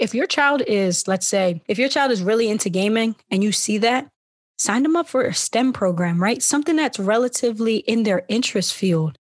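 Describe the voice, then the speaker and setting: A woman with an American accent speaks at medium pitch and a fairly quick pace, using lively intonation in an ordinary speaking voice. The sound is dry and close with no echo, over a quiet background. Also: hardly any pauses, very even loudness. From Philadelphia. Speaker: podcast host. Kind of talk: casual chat.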